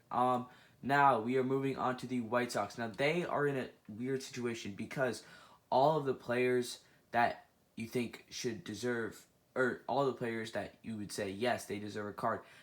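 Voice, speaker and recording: Recorded very cleanly with a silent background, a man speaks at a medium pitch. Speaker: gaming and baseball video creator. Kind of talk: casual commentary video. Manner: fast; hesitant with many fillers.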